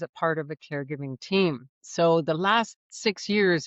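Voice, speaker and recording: A woman's normal speaking voice, fairly low in pitch, at a fairly slow pace with ordinary pitch variation. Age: 60s. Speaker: aging planning educator and author. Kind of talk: interview.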